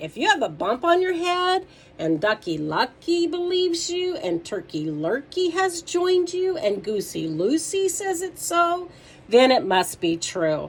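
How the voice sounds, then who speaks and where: Woman's put-on character voice at an extremely high pitch, moderate pace. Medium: read story.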